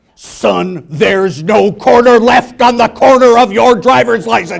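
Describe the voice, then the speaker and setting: A put-on character voice at a fairly slow pace. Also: man, high pitch for a man. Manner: menacing.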